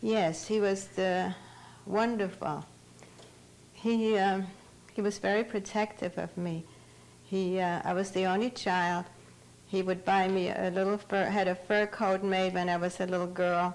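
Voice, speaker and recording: In a German accent, a woman at medium pitch talks fairly slowly with long, frequent pauses, her intonation monotone and flat and her loudness very even. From Germany, Bavaria. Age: 70s. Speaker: Holocaust survivor. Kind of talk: testimony.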